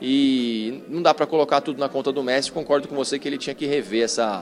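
With noticeable noise in the background, the man's mid-pitched voice stays fairly level in intonation. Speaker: sports journalist. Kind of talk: casual chat.

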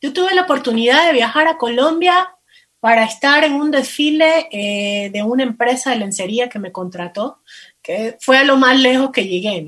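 With lively intonation and big swings in loudness, a woman speaks at a moderate pace and a high pitch. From Ecuador, coast (Manabí). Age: 40s. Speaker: plus-size model and lingerie entrepreneur. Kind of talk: interview.

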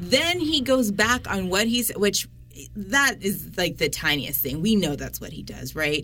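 A woman speaks at a moderate pace in a bright, sharp tone with vocal fry. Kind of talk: casual chat. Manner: opinionated.

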